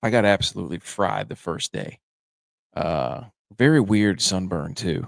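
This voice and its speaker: Speaking fairly slowly, a man lets his pitch swing very widely, with vocal fry. The sound is dry and close, without echo. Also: fairly low pitch for a man. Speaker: sports podcast host. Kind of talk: casual chat. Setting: top floor of a vacation house. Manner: quieter than usual.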